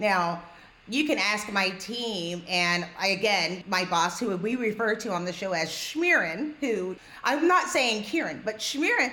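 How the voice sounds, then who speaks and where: Noticeable background noise sits behind a woman speaking at a fairly slow pace with an American accent. Her pitch is fairly high and her intonation lively. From New York. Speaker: podcast host. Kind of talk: podcast conversation.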